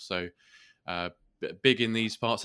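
With a southern English accent, a man speaks in a bright, sharp tone and fairly even intonation. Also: very clean recording, silent background. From southeast England, Kent. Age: 30s. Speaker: podcast host and entrepreneur. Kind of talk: interview. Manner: hesitant, many fillers.

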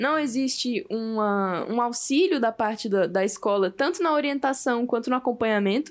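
A woman speaks at a moderate pace in a high pitch with lively intonation, very even loudness and hardly any pauses, on a very clean recording with a silent background. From Brazil. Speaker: podcast host. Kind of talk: casual chat.

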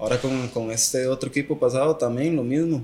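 Speaking at a moderate pace, a man with a Costa Rican accent uses a medium pitch and ordinary pitch variation. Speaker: professional footballer. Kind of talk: casual chat.

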